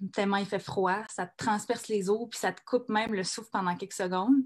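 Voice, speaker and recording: A somewhat breathy woman talks with only quiet in the background. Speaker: comedian. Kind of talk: spoken-word monologue read on stage.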